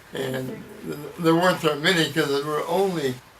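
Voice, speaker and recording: A man speaks at a fairly slow pace with a fairly high pitch and fairly even intonation, over noticeable background noise with audible room echo. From US Midwest, Iowa. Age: 90. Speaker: war veteran. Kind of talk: oral history interview.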